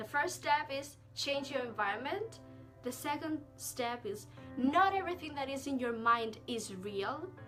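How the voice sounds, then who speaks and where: Over music in the background, a woman talks at a fairly slow pace in a high pitch, her intonation lively. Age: young. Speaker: self-love and mindset vlogger. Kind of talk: casual self-help talk to camera.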